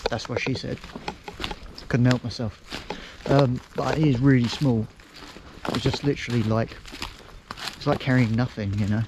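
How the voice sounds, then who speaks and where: Noticeable background noise sits behind a man speaking with an English accent at a medium pitch. He keeps a moderate pace and fairly even intonation, with long, frequent pauses. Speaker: outdoors vlogger. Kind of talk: casual vlog narration. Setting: outdoors in woods.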